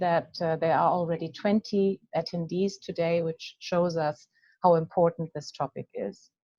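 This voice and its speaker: A woman with a German accent speaks at a moderate pace in a fairly low pitch, her intonation fairly even. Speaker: coaching association president. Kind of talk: webinar hosting. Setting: video call webinar. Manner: halting.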